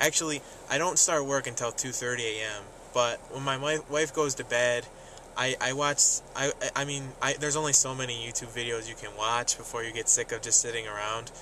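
Noticeable background noise sits under a man's voice, with a dry sound and no echo. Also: fairly even intonation, moderate pace. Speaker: vlogger. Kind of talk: casual vlog chat. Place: car. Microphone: phone near.

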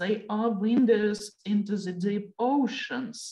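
Somewhat breathy, a woman speaks at a fairly high pitch in a dark, mellow tone with ordinary pitch variation. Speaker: research project co-director. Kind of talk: webinar opening and closing remarks. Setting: video call.

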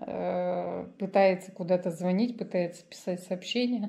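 Her pitch varies in an ordinary way as a woman speaks fairly slowly. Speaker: vlogger. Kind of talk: casual vlog chat. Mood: wry, resigned storytelling. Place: home room. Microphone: phone near.

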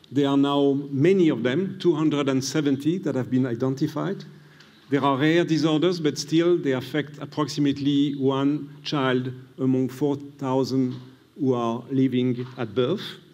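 A man with a French accent speaks at a fairly slow pace in a dark, mellow tone with fairly even intonation. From France. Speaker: pediatrician and immunologist, prize laureate. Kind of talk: lecture. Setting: stage with audience. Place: hall. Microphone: podium.

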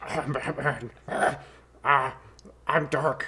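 This put-on character voice sits at a low-to-middle pitch. It sounds guttural and gravelly. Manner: brooding.

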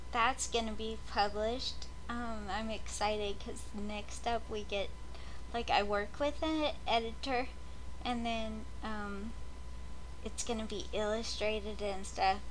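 A fairly slow-paced woman's voice with light background noise. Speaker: vlogger. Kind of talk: casual vlog chat. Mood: excited, rambling. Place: home room. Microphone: webcam.

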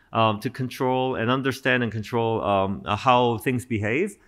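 Behind the speaker, the background is quiet. The delivery keeps a moderate speed. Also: man. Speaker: professor. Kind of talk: lecture. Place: stage. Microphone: podium.

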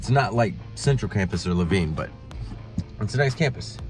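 A man at a very fast pace, dry sound with no echo, clear music in the background. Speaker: adult college student vlogger. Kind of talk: casual vlog chat. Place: car. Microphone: phone near.

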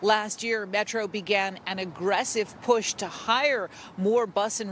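Over light background noise, a woman speaks at a fairly slow pace with fairly even intonation in a dry sound with no echo. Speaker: field news reporter. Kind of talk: news report, scripted field package. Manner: formal, measured; clear, brisk broadcast delivery. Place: street. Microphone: handheld.

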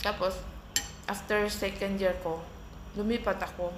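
A woman speaks at a fairly slow pace with monotone, flat intonation. Noticeable background noise and audible room echo are present. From Philippines, Mindanao (Bisaya). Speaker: vlogger. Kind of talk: casual vlog storytelling. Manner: casual, eating while talking.

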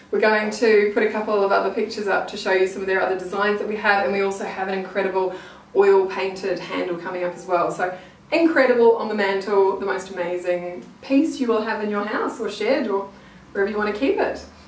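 Audible room echo surrounds a woman's voice at a medium pitch with ordinary pitch variation. She talks at a fairly quick pace.

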